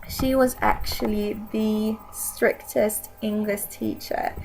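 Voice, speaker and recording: Speaking at a very slow pace, a woman talks with a Swedish accent. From Sweden. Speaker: video blogger. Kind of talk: casual vlog talk.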